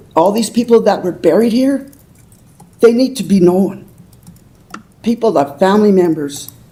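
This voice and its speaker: A woman speaks at a medium pitch in a dark, mellow tone with lively intonation. She leaves long, frequent pauses. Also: moderate pace. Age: 80s+. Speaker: public commenter. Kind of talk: public comment at council meeting. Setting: city council meeting. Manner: halting.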